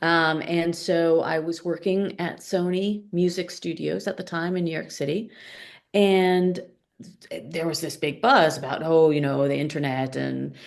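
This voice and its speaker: With an American accent, a woman speaks slowly-ish at a fairly slow pace, fairly low in pitch with fairly even intonation, in an ordinary speaking voice. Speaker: product coach. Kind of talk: podcast interview.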